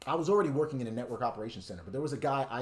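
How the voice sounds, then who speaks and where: A man with an American accent and lively intonation. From New York City. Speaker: network engineer and tech streamer. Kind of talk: live-stream tutorial with chat Q&A. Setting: live stream. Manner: casual, conversational. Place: home room. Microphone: webcam.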